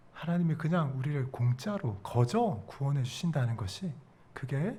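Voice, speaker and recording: Room echo is clearly audible around this man. His tone is dark and mellow, and he talks at a fairly slow pace. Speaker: pastor. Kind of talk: sermon.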